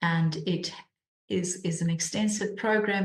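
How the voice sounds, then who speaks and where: With a South African accent, a woman speaks in a somewhat breathy, fairly low voice with monotone, flat intonation. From South Africa, Cape Town. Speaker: charity mission director. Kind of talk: interview. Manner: repeats words often, halting.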